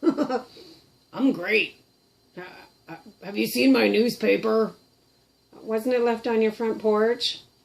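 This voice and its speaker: Using a put-on character voice, a woman speaks very slowly at a fairly high pitch. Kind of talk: casual talk to camera.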